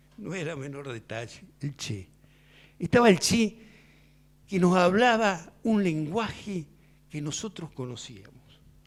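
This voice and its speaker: A man speaks very slowly in a high voice, with very wide pitch swings and big swings in loudness. Long, frequent pauses break up his speech on a very clean recording with a silent background. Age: 60s. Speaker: veteran political activist, panel speaker. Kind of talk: panel talk. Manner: conversational, with repetitions.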